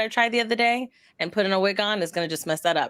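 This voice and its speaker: A woman speaks in a plain, everyday voice. Her pitch varies in an ordinary way. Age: 30s. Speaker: variety streamer and podcaster. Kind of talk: casual chat. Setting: live stream.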